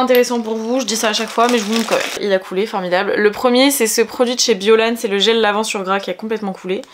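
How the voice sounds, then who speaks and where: A woman's fairly high voice at a very fast pace, with hardly any pauses, fairly even intonation and noticeable background noise. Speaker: beauty vlogger. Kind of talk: casual vlog. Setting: at home.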